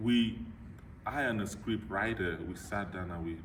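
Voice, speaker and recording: The speaker goes at a moderate pace with ordinary pitch variation, and audible room echo surrounds the voice. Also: man. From Nigeria. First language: a Nigerian language (lost). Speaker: motivational speaker. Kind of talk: Q&A after a talk, personal story. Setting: club meeting with audience.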